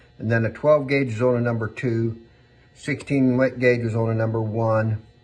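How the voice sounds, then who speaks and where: Music plays in the background as a man speaks at a moderate pace and medium pitch. His intonation is monotone and flat. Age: 60s. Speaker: firearms collector and saddle maker. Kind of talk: casual show-and-tell video. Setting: his workshop. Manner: relaxed, hesitant with repetitions.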